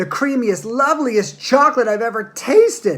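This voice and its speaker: An extremely high-pitched put-on character voice from a man. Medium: read story. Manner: warm, plain-spoken.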